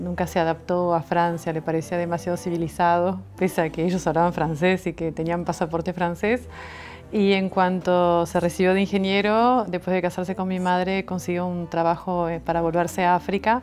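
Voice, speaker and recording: A woman with a Buenos Aires accent speaks at a moderate pace in a fairly low pitch, her intonation monotone and flat. The recording is very clean, with a silent background. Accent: sounds like a Buenos Aires native. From Senegal, French family, then Iran and Paris. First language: French (speaking Spanish). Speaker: writer. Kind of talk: interview.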